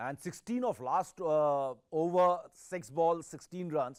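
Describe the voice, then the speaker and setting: A man with an Indian accent and a high-pitched voice. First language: Hindi. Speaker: sports journalist. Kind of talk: interview.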